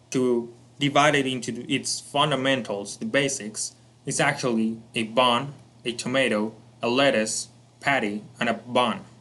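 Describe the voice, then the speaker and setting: A man with a Spanish accent speaks at a moderate pace and with ordinary pitch variation, and audible room echo surrounds his voice. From Colombia. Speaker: self-improvement educator. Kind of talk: lecture.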